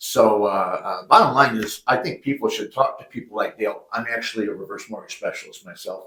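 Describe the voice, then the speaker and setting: A man talks at a fairly quick pace with hardly any pauses. His volume rises and falls sharply. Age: 60s. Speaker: mortgage company owner. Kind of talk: podcast interview. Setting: office.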